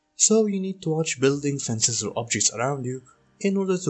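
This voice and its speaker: A man talks at a very fast pace with a non-native accent and very wide pitch swings. Music plays in the background. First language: Arabic. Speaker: gaming YouTuber. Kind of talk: tutorial.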